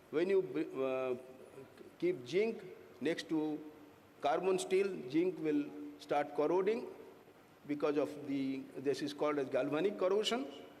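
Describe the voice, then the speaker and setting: A man with a fairly high voice speaks at a fairly slow pace, with ordinary pitch variation and long, frequent pauses, in a room with audible echo. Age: 60s. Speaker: corrosion engineer presenting at a conference. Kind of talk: technical conference presentation. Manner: halting, many fillers.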